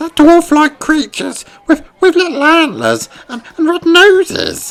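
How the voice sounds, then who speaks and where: Using a squeaky, put-on character voice, a man talks at a fairly slow pace and an extremely high pitch. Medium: read story. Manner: anxious.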